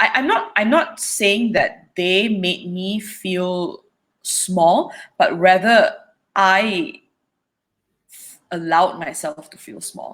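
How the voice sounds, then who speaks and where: With a medium pitch, very wide pitch swings, and big swings in loudness, a woman speaks at a very slow pace with long, frequent pauses. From Malaysia. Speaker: singer-songwriter. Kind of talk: interview answer.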